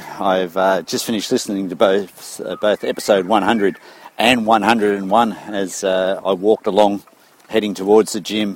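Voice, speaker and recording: An Australian accent comes through at a fairly slow pace, with a monotone, flat delivery. Noticeable background noise sits behind the voice. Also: man. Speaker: running coach, listener. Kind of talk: recorded voice message. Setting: recorded while walking. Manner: casual, friendly.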